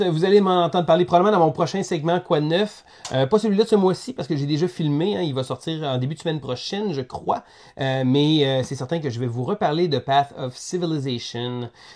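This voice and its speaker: A fairly quick pace in a Quebec accent. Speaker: board game reviewer. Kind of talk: casual interview.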